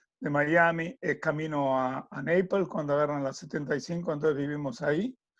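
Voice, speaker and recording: Someone speaks at a moderate pace with an Argentine accent and ordinary pitch variation. The background is quiet. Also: man, fairly high pitch for a man. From Argentina. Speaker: tennis coach and sports consultant. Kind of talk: interview.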